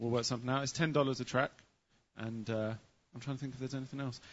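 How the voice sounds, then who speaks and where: This is a man's voice at medium pitch. He speaks with an English accent. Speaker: sound engineer recording the show. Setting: stage. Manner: hard to understand, mumbles.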